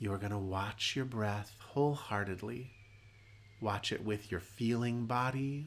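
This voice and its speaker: With a calm tone and lively intonation, a man speaks at a fairly low pitch. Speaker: meditation teacher. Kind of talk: guided meditation. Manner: slow.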